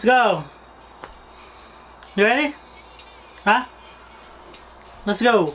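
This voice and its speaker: With long, frequent pauses and lively intonation, a man speaks at a very slow pace as music plays in the background. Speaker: vlogger. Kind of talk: casual talk to camera, game banter. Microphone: camera far.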